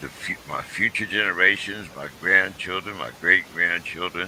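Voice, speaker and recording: A man with an American accent speaks at a fairly slow pace. Noticeable background noise sits behind him. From Pittsburgh, US. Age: 70s. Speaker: talk show host, Vietnam veteran. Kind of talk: casual chat. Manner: halting.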